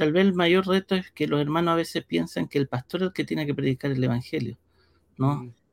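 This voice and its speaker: A man's normal speaking voice, fairly high in pitch, at a fairly quick pace with very even loudness and ordinary pitch variation, in a dry, close sound with no echo and a very clean recording over a silent background. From Brazil (São Paulo), born in Chile. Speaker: pastor and church media director. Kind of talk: interview.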